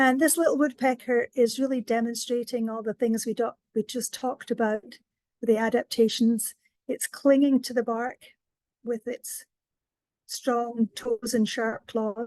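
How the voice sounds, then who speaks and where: A woman with a Scottish accent, high-pitched and fairly slow, in a monotone, flat delivery with a dry, close sound and no echo. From Scotland. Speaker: wildlife education coordinator. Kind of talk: educational presentation.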